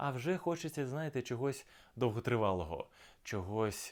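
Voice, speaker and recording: A man speaks at a moderate pace with very wide swings in pitch. The recording is very clean, with a silent background. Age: 30s. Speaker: actor. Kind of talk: self-presentation video.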